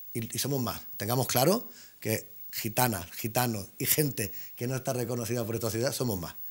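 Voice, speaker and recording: With ordinary pitch variation and a moderate pace, a man talks in a somewhat breathy voice. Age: 40s. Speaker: Roma activist; talk show guest. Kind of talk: panel discussion. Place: studio. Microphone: lapel.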